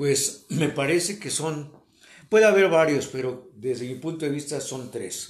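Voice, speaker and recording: Delivered fairly slowly, the voice shows ordinary pitch variation. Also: man. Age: 60s. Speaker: host's father. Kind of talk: interview.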